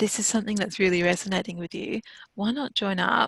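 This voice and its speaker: Soft-spoken and calm in tone, a woman talks at a fairly quick pace with a medium pitch and fairly even intonation. The sound is dry and close, with no echo. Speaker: counsellor. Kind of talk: interview.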